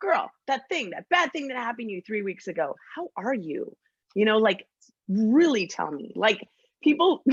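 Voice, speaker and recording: A woman talks loudly at a moderate pace in an animated tone, her pitch swinging very widely. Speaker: podcast host guest. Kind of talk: casual chat.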